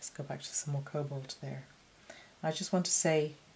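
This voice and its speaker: A woman speaks with a very deep, low pitch and a somewhat breathy voice. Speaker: watercolour painter and art teacher. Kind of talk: painting tutorial talk. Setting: home studio. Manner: casual, hesitant with frequent fillers.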